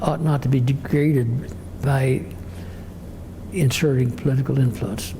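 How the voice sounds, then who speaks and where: In a room with audible echo, a man with a fairly high voice speaks at a very slow pace. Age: 80s+. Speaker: retired judge. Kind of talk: oral history interview. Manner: halting, repeats words.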